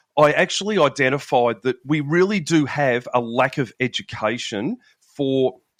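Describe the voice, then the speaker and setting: A man's fairly high voice in an Australian accent, lively in intonation, with a dry, close sound, no echo, and a quiet background. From Australia, Melbourne. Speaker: police veteran and nutrition coach. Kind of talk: podcast interview.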